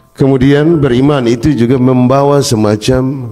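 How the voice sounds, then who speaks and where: A man's medium-pitched voice over music in the background. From Kupang, East Nusa Tenggara (Timor), eastern Indonesia. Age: 40s. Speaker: church leader speaking at a memorial event. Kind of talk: public speech.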